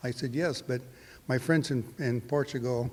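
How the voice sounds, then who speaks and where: This man speaks with a Californian accent. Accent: American (California). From California (Hanford, Central Valley). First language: Portuguese. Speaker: winemaker. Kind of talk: interview. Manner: halting, many fillers.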